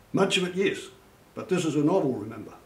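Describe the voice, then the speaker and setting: A man with a New Zealand accent, somewhat breathy, at a fairly quick pace. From Christchurch, New Zealand. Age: 70s. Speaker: author and retired army sergeant major. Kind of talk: interview talk about his novels.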